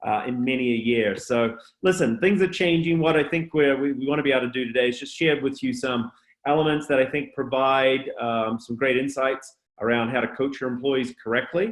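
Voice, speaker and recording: A man with a slight New Zealand accent, medium pitch, ordinary pitch variation and a fairly quick pace. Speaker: culture consultant and speaker. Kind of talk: webinar presentation. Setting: online webinar.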